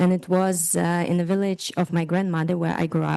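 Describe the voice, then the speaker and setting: A woman talks with a Ukrainian accent in a fairly low, dark, mellow voice. Her intonation stays fairly even over a quiet background. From northeast Ukraine. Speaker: artist. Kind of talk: guided meditation.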